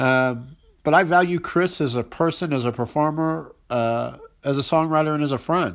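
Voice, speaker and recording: A man talks at a moderate pace in a plain, everyday voice, fairly high in pitch with ordinary pitch variation. The recording is very clean, with a silent background. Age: 40s. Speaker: podcast host and music writer. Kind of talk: scripted intro monologue.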